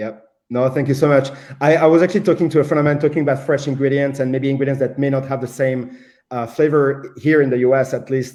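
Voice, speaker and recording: A man at a very fast pace, fairly high in pitch, dark and mellow in tone, with fairly even intonation. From France. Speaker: show host. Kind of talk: panel discussion. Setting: Facebook live stream.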